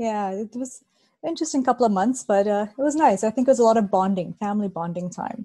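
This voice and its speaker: Speech comes at a very fast pace with lively intonation and a dark, mellow, somewhat breathy tone. The background is quiet. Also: woman, fairly high pitch for a woman. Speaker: health expert. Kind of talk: casual interview. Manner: soft-spoken.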